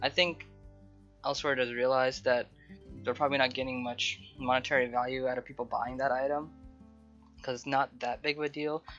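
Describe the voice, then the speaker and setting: A fairly quick pace broken by long, frequent pauses, with music in the background. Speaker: gaming youtuber. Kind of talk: casual game patch review.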